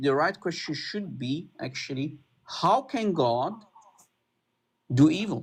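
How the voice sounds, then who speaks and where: A man with an Arabic accent, fairly high-pitched with very wide pitch swings, at a very slow pace with long, frequent pauses. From Middle East. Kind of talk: heated debate. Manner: animated.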